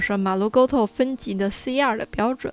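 A woman with a fairly high pitch and ordinary pitch variation at a moderate pace, music in the background. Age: 30s. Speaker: podcast host. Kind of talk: casual chat. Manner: unscripted, off-the-cuff.

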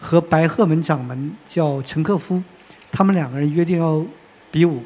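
Over noticeable background noise, the speaker moves at a moderate pace with ordinary pitch variation. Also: man. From Northeast China. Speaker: film magazine editor and panel moderator. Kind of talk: panel discussion. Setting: stage with audience.

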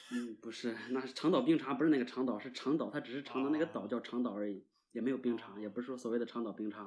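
With a Shandong accent, a man talks at a very fast pace with hardly any pauses. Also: medium pitch for a man, ordinary pitch variation. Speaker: guest co-host. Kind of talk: casual chat.

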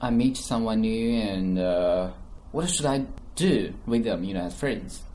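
A man with a Chinese accent speaks at a fairly slow pace in a medium-pitched, dark, mellow tone with lively intonation, and the room echo is audible. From China. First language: Mandarin Chinese. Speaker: English-learning podcast host. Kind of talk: casual chat.

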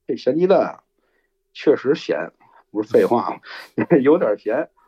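This voice carries a Beijing accent. The speech moves at a moderate pace. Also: man. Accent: Beijing Mandarin, heavy erhua. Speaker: storyteller. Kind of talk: storytelling. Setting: live online broadcast. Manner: relaxed, laid-back.

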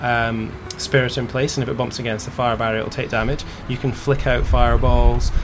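A man with a Scottish accent speaks in a flat monotone at medium pitch and a fairly quick pace. The room echo is audible, and background noise is noticeable. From Scotland. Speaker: video game developer and company founder. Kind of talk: interview.

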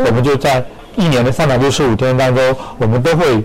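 A man talks at a moderate pace with ordinary pitch variation while noticeable background noise continues. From not from Hefei. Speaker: store marketing manager. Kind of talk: radio interview. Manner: hesitant with fillers.

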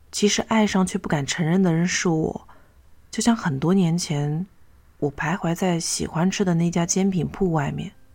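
A woman's somewhat breathy, fairly low-pitched voice at a moderate pace with fairly even intonation. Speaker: podcast host reading stories. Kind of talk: reading aloud a short story.

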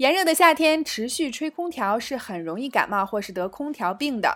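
On a very clean recording with a silent background, a woman speaks at a moderate pace in a high voice with very wide pitch swings. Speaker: English teacher podcast host. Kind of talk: language lesson. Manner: clear and measured.

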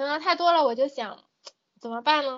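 A woman speaks with ordinary pitch variation. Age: 20s. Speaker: software test engineer. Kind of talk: casual chat.

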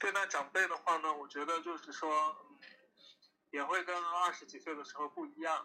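Bright and sharp in tone, the voice moves at a moderate pace with fairly even intonation, big swings in loudness, and long, frequent pauses. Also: man, high pitch for a man. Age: 30s. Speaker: guest on podcast. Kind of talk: casual chat.

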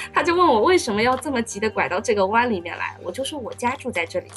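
Music runs in the background. A woman speaks at a very fast pace. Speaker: university student. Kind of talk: casual chat.

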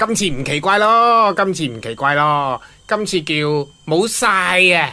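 A woman's cartoonish character voice, low-pitched, bright and sharp, with lively intonation at a slow pace

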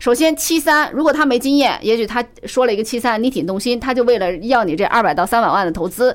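Loud and at a fairly quick pace, a woman speaks with a high pitch and very wide pitch swings. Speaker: business commentator guest. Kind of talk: casual chat.

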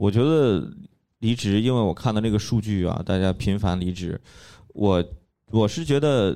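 Over a silent background in a very clean recording, a man with a dark, mellow tone talks at a moderate pace with lively intonation. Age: 30s. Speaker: podcast host and stand-up comedy club member. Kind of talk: casual chat.

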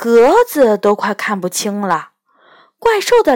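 The clip is plain reading aloud against a quiet background.

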